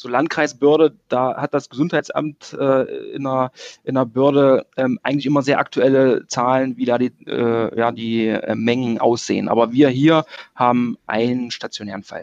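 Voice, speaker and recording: Delivered at a moderate pace, a man's ordinary speaking voice sits at a medium pitch with fairly even intonation. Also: dry, close sound with no echo. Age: 30s. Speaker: hospital physician. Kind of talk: interview. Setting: remote call.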